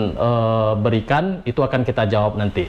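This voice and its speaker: A man, with noticeable background noise. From Riau, Indonesia. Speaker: vlogger answering viewer questions. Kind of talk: casual Q&A chat.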